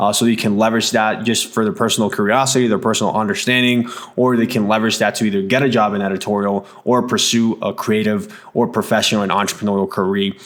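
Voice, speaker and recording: A man speaks at a very fast pace in a fairly low voice, with hardly any pauses. His intonation is monotone and flat, and his loudness stays very even. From Mexico. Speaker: podcast host. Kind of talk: scripted intro to podcast episode. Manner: many fillers and repetitions.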